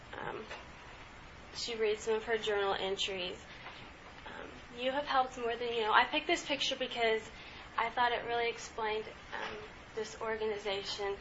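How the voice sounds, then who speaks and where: Against noticeable background noise, a woman with a fairly high voice speaks at a moderate pace with fairly even intonation and long, frequent pauses. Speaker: student presenter. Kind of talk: student presentation.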